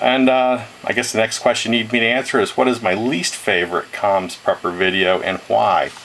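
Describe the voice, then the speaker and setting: Noticeable background noise surrounds the speaker. A man talks at a moderate pace. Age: 60s. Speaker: retired engineer and ham radio hobbyist. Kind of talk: video message. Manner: halting, many fillers.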